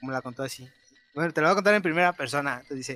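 A man's bright, sharp voice in a central Mexican accent, at a very fast pace. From Guanajuato, Mexico. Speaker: podcast co-host. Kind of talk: casual chat.

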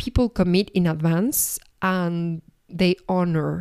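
A woman's dark, mellow, fairly low-pitched voice with fairly even intonation and a Spanish accent. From Argentina. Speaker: podcast host and life coach. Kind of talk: solo reflective podcast monologue. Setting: at home.

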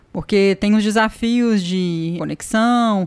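A woman speaks in a plain, everyday voice at a medium pitch with ordinary pitch variation, on a very clean recording with a silent background. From Brazil, Minas Gerais. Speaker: marketing director at accelerator, co-host. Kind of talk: casual business interview chat.

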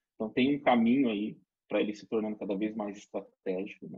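An unremarkable speaking voice, a man of medium pitch at a fairly quick pace. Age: 40s. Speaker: retail pricing consultant. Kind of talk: webinar presentation.

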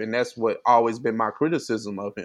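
A man at a medium pitch speaks in an ordinary speaking voice at a moderate pace. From St. Louis, Missouri. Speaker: podcast co-host. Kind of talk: casual chat.

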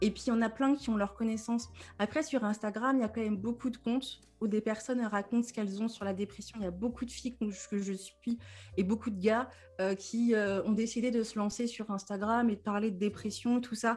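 The speaker is a woman with a fairly high voice. Behind her, music can be heard. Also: fairly quick pace. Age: 30s. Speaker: depression coach and podcaster. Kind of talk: casual interview. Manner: animated, with frequent laughter.

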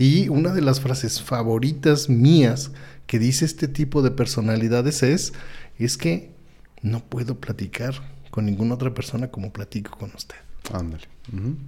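A man with a Mexican accent speaks at a moderate pace in a medium pitch, his tone dark and mellow and somewhat breathy. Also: ordinary pitch variation. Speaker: homeopathy school director and host. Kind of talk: educational live-stream chat. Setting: live video stream. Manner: animated.

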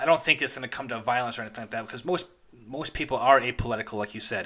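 This man has a bright, sharp tone and speaks with an American accent. His pitch is medium. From Chicago suburbs. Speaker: podcast host. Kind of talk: interview conversation.

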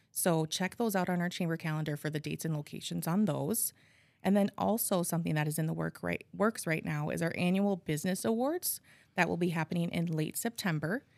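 In an Upper Midwest accent, a woman with a fairly low pitch and ordinary pitch variation talks at a fairly quick pace on a very clean recording with a silent background. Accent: Upper Midwest American. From Appleton, Wisconsin. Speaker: nonprofit outreach coordinator. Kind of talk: interview.

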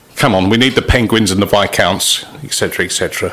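A man with an English accent, over noticeable background noise. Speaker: cricket podcast host. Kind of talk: casual interview.

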